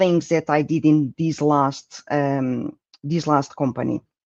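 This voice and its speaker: Speaking at a very slow pace with a Portuguese accent, a man is heard in a dry, close sound with no echo. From Portugal. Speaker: project management speaker. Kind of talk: conference presentation.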